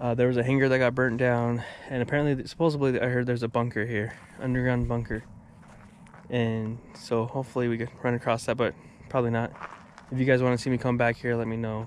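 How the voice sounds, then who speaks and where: A man at a very fast pace in a flat monotone, dry sound with no echo and light background noise. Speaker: paranormal explorer vlogger. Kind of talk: casual vlog chat. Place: open country. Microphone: phone near.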